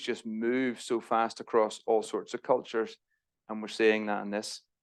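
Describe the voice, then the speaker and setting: Against a quiet background, a man with an Irish accent and a medium pitch speaks at a moderate pace. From Northern Ireland. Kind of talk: church talk. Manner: casual, self-deprecating asides.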